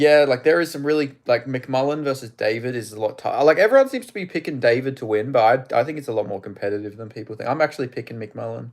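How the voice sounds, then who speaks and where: In an animated tone, a man with an Australian accent talks very fast at a medium pitch. His pitch varies in an ordinary way while his loudness swings widely. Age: 20s. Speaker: MMA live streamer. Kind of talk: live stream chat and fight commentary. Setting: live stream. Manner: casual, animated.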